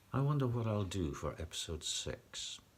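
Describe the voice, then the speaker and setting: A somewhat breathy male voice, fairly low in pitch, with very wide pitch swings. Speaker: epilepsy vlogger. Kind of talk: personal vlog talk. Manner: occasional stutter, unedited.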